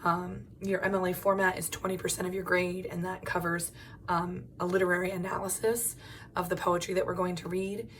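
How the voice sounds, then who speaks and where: Audible room echo surrounds a woman at medium pitch. She talks at a fairly quick pace with monotone, flat intonation. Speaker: college English instructor. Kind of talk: video lecture. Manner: casual, frequent filler ums.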